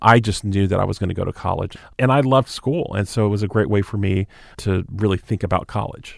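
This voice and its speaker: On a very clean recording with a silent background, a man with an American accent talks very fast in a fairly low pitch. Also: ordinary pitch variation. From US South (southwest Georgia). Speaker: university administrator. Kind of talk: interview.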